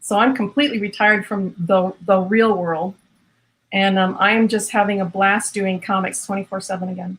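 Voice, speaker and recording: A woman speaks at a fairly quick pace in a plain, everyday voice, her medium pitch moving with fairly even intonation over a very clean recording with a silent background. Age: 60s. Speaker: comic book inker and colorist. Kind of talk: casual chat.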